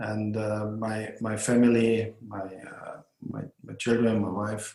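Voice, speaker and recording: Very slowly and in a flat monotone, a man speaks at a fairly low pitch with a German accent. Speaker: hotel owner and tourism board head. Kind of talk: podcast interview. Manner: halting, many hesitations.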